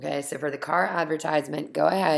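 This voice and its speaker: The woman here has a very deep, low pitch. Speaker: teacher. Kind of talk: tutorial. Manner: casual.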